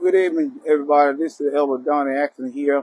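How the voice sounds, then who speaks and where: Talking at a fairly quick pace, the man sounds dry with no echo, and the background stays quiet. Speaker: church pastor. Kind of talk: invitation speech, sermon-like. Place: street.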